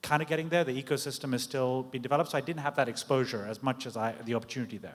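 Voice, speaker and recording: The man's voice is fairly high, shifts in pitch in an ordinary way and goes very fast. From Britain. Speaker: tech executive. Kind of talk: panel discussion.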